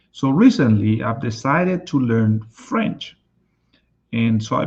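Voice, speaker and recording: A somewhat breathy man with a Spanish accent at a very slow pace. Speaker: life and business coach. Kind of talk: live stream talk.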